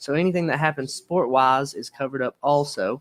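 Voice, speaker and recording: A man speaks very fast with a Southern accent and ordinary pitch variation. The recording is very clean, with a silent background. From Alabama. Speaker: livestream host. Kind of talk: live stream interview. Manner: casual.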